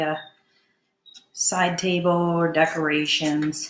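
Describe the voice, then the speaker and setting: A woman speaks at a fairly low pitch. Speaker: DIY crafter. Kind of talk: tutorial. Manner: loud. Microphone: camera far from speaker.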